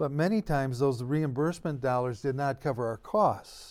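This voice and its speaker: In an American accent, a man with a fairly high pitch and ordinary pitch variation talks at a moderate pace in a plain, everyday voice, recorded very cleanly over a silent background. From US Midwest. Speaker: eldercare consultant. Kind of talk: casual chat.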